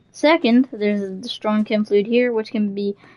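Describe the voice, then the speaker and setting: With fairly even intonation, a woman speaks in a fairly high voice of dark, mellow tone, recorded dry and close with no echo. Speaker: gaming streamer. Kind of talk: game walkthrough commentary. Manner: fast.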